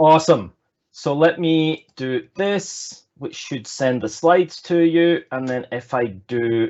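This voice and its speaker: The speech moves at a very slow pace in an American accent. Its intonation is lively. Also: man, fairly high pitch for a man. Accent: Scottish with slight American tinge. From Scotland. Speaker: agile consultant and speaker. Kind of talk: online presentation talk. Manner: hesitant, many fillers.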